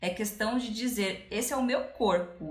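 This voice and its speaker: A medium-pitched woman with ordinary pitch variation, in audible room echo. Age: 30s. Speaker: podcast co-host, biology teacher. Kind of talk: casual chat.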